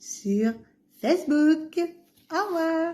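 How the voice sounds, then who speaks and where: A woman talks at a very slow pace, her voice moving in very wide pitch swings. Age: 60s. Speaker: vlogger, pilgrim. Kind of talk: casual vlog. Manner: hesitant, many fillers.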